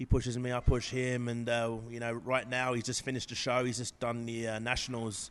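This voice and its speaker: This man has an English accent. He talks at a fairly quick pace. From England. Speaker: professional bodybuilder. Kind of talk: interview. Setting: gym. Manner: halting, many fillers.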